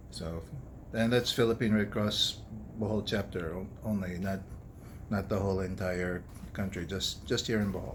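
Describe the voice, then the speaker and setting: A man speaks at a moderate pace with a fairly low pitch. His voice is somewhat breathy, broken by long, frequent pauses. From United States. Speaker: doctor and food vlogger. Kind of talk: casual personal vlog. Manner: monotone; serious, quiet.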